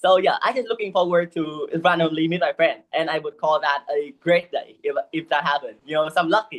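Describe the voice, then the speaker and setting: A woman's fairly low-pitched voice with a Vietnamese accent, fairly quick with hardly any pauses and ordinary pitch variation. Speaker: English learner, university student. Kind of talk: one-to-one English lesson conversation. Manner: halting, with many fillers.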